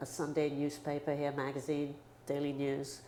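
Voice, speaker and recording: Audible room echo surrounds a woman speaking in a London accent, her pitch very deep and low and her tone dark and mellow. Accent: British English, London. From London, England. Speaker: photographer. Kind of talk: interview. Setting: photo studio. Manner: casual, animated.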